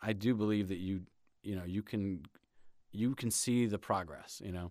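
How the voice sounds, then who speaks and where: Talking at a moderate pace with an American accent, a man with a fairly low pitch shows ordinary pitch variation on a very clean recording with a silent background. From grew up in many places as an army child (US and Europe). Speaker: television writer. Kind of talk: interview. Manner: halting, many fillers and repetitions.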